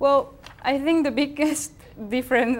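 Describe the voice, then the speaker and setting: A woman with a Spanish accent at a moderate pace. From Spain. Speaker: TV show co-host. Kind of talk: casual chat. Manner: halting.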